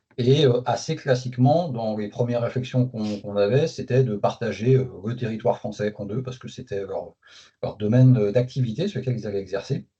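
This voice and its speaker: Speaking at a fairly quick pace, a man with a medium pitch and ordinary pitch variation sounds somewhat breathy, his loudness swinging widely. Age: 40s. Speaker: company manager. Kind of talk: interview. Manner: hesitant, many fillers.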